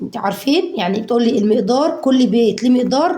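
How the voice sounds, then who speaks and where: A woman with an Egyptian accent speaks in a high pitch at a moderate pace. Audible room echo surrounds her voice. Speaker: home cooking vlogger. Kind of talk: casual cooking tutorial. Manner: animated.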